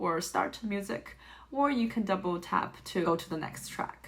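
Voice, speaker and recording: Over noticeable background noise, a woman with a Chinese accent talks at a moderate pace with lively intonation. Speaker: tech reviewer. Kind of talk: product review.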